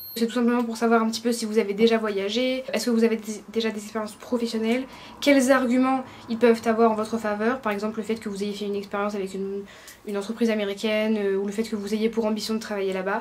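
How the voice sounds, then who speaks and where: The delivery is very fast, with monotone, flat intonation. Noticeable background noise runs underneath. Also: woman, fairly high pitch for a woman. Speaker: student vlogger. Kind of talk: vlog tutorial.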